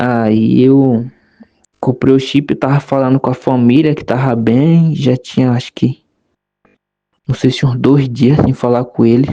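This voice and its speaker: With a dark, mellow tone and medium pitch, a man speaks at a fairly slow pace in a monotone, flat intonation, leaving long, frequent pauses. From Bahia, Brazil (rural interior). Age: 20s. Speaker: migrant telling his story. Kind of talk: personal testimony. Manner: casual, with fillers.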